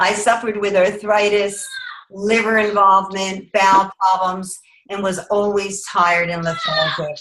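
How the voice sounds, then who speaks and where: With a plain, everyday voice, a woman speaks at a fairly slow pace, keeping a medium pitch and fairly even intonation. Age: 50s. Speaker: network marketing representative. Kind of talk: testimony. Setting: video call.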